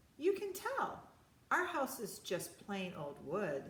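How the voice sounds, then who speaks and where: A woman's fairly high-pitched, put-on character voice at a fairly slow pace. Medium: read story. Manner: curious, chatty.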